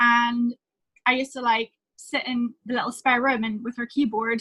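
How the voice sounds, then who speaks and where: In a Northern Irish accent, a woman speaks at a high pitch and moderate pace with fairly even intonation, the sound dry and close with no echo. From Northern Ireland, small town. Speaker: singer-songwriter. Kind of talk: interview storytelling.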